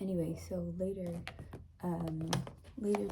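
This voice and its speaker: A woman with an American accent speaks quietly at a fairly slow pace. Noticeable background noise runs behind her. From US South, Florida. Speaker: vlogger. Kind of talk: casual vlog talk to camera. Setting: at home, getting ready in the morning.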